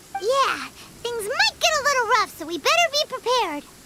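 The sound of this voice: In a put-on character voice, a woman speaks at a moderate pace with an extremely high pitch, a bright, sharp tone and big pitch swings.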